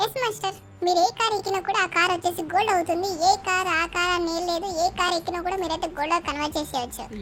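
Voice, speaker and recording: In a put-on character voice at an extremely high pitch, the speaker rattles along at a very fast pace over clear background noise. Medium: machinima. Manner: deferential, calls listener master.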